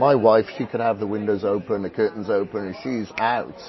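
Over crowd noise in the background, the speech moves at a moderate pace with fairly even intonation. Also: man. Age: 40s. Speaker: fitness and transformation coach. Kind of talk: casual chat. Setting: live event with audience.

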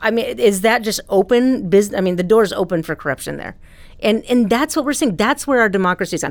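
A woman with an American accent speaks at a medium pitch. Hers is an unremarkable speaking voice with ordinary pitch variation. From Ohio, US Midwest. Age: 40s. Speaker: journalism professor. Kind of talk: interview.

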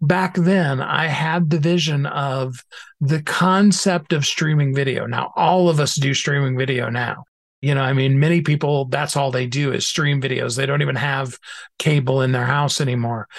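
At a moderate pace, a man with a plain, everyday voice speaks in a fairly high pitch with fairly even intonation. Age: 50s. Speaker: author and minister. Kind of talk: interview.

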